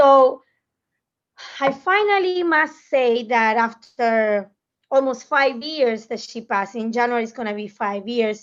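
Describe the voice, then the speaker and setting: Speaking with a Spanish accent, a woman uses a high pitch and lively intonation at a fairly slow pace. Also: quiet background. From Argentina. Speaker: food magazine professional. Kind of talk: panel discussion.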